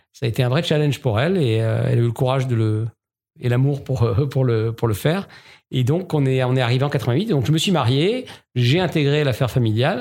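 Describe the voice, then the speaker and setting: A man talks at a fairly quick pace in a medium-pitched voice with ordinary pitch variation. His loudness stays very even, and the recording is very clean with a silent background. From Alsace, France (Strasbourg). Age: 50s. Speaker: entrepreneur. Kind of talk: interview. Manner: hesitant, many fillers.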